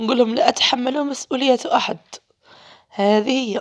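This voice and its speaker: The woman's voice is high-pitched, with ordinary pitch variation. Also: dry, close sound with no echo. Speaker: primary school teacher. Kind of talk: casual vlog narration. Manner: animated.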